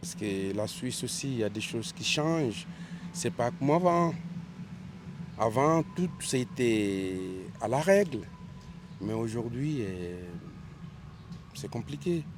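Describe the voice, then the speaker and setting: A man speaks at a very slow pace with a medium pitch, his pitch swinging very widely. He leaves long, frequent pauses. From Switzerland, Geneva. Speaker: passerby interviewee. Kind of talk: street interview.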